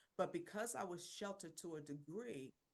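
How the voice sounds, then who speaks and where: A woman with a Philadelphia accent speaks in a very deep, low voice. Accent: Philadelphia American English. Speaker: women's business mentor, founder. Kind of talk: personal testimony in interview.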